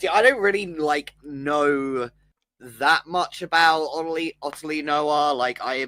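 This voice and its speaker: The delivery comes at a very slow pace. The speaker has a British accent. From Britain. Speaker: stream co-host. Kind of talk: casual chat.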